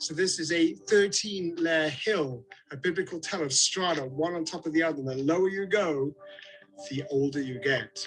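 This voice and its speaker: A British accent at a moderate pace with ordinary pitch variation, over music in the background. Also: man. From Britain. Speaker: tour guide. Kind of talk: guided tour presentation. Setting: outdoors. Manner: animated.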